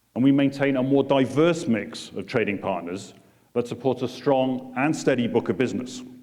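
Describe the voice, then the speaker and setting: In a British accent, a man speaks at a moderate pace with medium pitch and a dark, mellow tone. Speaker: port chief executive. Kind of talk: keynote speech. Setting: conference room with audience.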